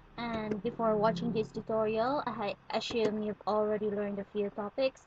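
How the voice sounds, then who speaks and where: Over noticeable background noise, a woman with a non-native accent speaks at a moderate pace in a fairly high, flat, monotone voice. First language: not English. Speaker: student tutorial maker. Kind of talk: tutorial.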